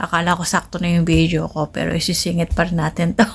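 A woman's fairly low, monotone, flat voice amid noticeable background noise. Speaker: vlogger, overseas domestic worker. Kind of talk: casual vlog narration. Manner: chatty.

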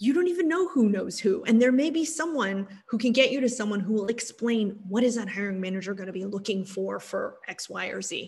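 Fairly quick and with hardly any pauses, a woman with an American accent and a fairly high pitch speaks with lively intonation. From Texas, Austin; Texas. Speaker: technology executive; guest. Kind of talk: interview. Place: home room. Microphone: video call.

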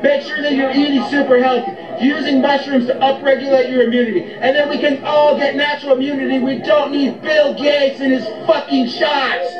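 Loud and at an extremely high pitch, a man speaks at a fairly quick pace over noticeable background noise. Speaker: health and wellness commentator, chiropractic-minded podcaster. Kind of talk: angry anti-establishment rant, preacher-like sermon to camera. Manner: loud, fired-up and confrontational, hammering points and barking orders at the audience. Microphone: phone near.

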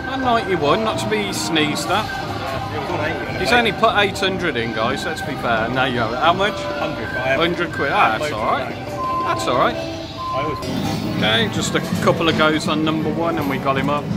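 A man at a fairly slow pace over loud background music. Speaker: slot machine vlogger. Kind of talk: casual commentary. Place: hall. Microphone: phone near.

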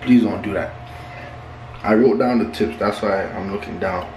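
Light background noise and audible room echo accompany a man with a fairly low voice. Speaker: vlogger. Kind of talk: casual vlog chat. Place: home room. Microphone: phone near.

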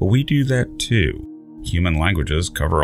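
With music in the background, a man's pitch swings very widely. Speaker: science channel narrator. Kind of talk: documentary narration.

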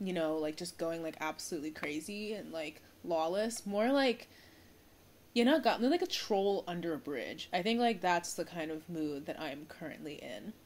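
Lively in intonation and moderate in pace, this is an unremarkable speaking voice. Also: woman, fairly low pitch for a woman. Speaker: vlogger. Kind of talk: casual vlog chat. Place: home room. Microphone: phone near.

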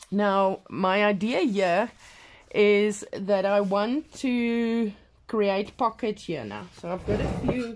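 Over light background noise, a woman with a non-native accent speaks very slowly in a fairly even intonation. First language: not English. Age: 40s. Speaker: craft vlogger. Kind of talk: casual craft tutorial video. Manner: halting, with fillers. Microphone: phone near.

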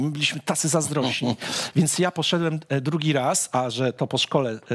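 The man keeps a moderate pace while the background stays quiet. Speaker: talk show host. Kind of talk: interview conversation, personal anecdote. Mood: warm, amused, nostalgic. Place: studio. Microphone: headset.

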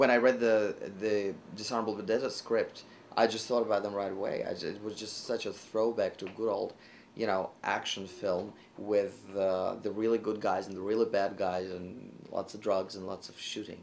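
With a Russian accent, a man at a fairly low pitch speaks at a moderate pace with fairly even intonation and big swings in loudness over light background noise. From Russia, Moscow. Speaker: classical pianist and actor; actor. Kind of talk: interview. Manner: halting, frequent fillers and repetitions.

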